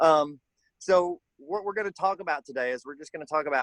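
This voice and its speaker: Speaking with a Southern US accent, a man sounds dry and close, with no echo. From Kentucky, US South. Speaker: color guard instructor. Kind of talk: online workshop. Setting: video call from backyard.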